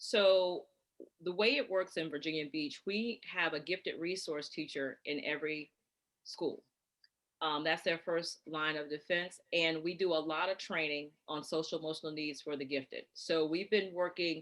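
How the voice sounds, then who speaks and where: A woman with an American accent talks at a moderate pace in an ordinary speaking voice, her intonation fairly even. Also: fairly low pitch for a woman. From North Carolina. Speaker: gifted education coordinator. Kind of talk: Q&A answer in parent workshop.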